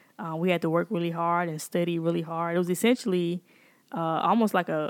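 In a Mississippi accent, a woman speaks at a fairly quick pace and fairly low pitch with fairly even intonation, on a very clean recording with a silent background and a dry, close sound with no echo. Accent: US Southern (Mississippi). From Jackson, Mississippi. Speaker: computer scientist and tech founder. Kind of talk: interview conversation.

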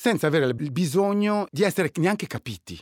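A man speaks at a fairly quick pace. The recording is very clean with a silent background, and the sound is dry and close with no echo. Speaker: writer and DJ. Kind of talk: casual chat.

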